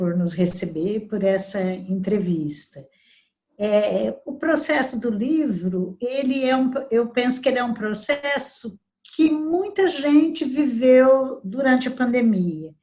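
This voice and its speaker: A woman's fairly high voice at a very slow pace, with very wide pitch swings. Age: 60s. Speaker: labor lawyer and debut author. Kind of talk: interview. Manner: halting.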